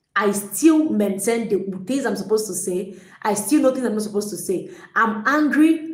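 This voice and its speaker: Fairly high-pitched woman at a moderate pace amid noticeable background noise and audible room echo. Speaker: relationship coach. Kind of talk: livestream talk. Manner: energetic.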